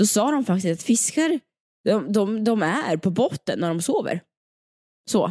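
A woman speaks at a medium pitch in a dark, mellow tone, her pitch swinging very widely at a fairly slow pace with long, frequent pauses, in a dry, close sound with no echo. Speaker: podcast co-host. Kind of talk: casual chat.

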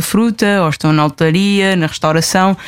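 With fairly even intonation, an unremarkable speaking voice keeps up a fairly quick pace. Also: woman. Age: 20s. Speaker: traveller and blogger. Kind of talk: interview.

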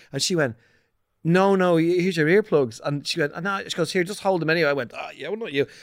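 A man speaks very fast with an Irish accent at a high pitch and ordinary pitch variation. The recording is very clean with a silent background. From Ireland, Ballantyre. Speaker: podcast guest. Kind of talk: casual chat.

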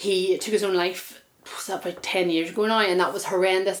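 A woman with a Northern Irish accent speaks at medium pitch and a moderate pace, her intonation monotone and flat. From Belfast. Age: 30s. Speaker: hypnotherapist. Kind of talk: interview.

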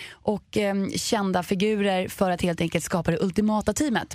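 In a very clean recording with a silent background, a woman talks at medium pitch. Her pace is moderate. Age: 20s. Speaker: podcast co-host. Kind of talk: casual chat. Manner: animated.

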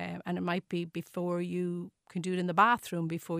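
Recorded very cleanly against a silent background, a woman with an Irish accent speaks at a fairly low pitch in a dry, close sound with no echo. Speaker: nursing professor. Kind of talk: radio interview. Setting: studio. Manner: hesitant, many fillers.

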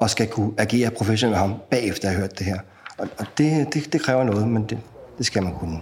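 This man has a normal speaking voice, a fairly low pitch and ordinary pitch variation, and he talks at a fairly quick pace. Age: 40s. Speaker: prison transport officer. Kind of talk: casual chat.

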